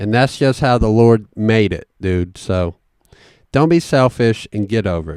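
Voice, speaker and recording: Lively intonation marks this man's fairly low voice, in a Southern US accent at a fairly slow pace. The sound is dry and close with no echo, on a very clean recording with a silent background. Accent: Southern country accent, growing stronger. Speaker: podcast host. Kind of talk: casual monologue. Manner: animated.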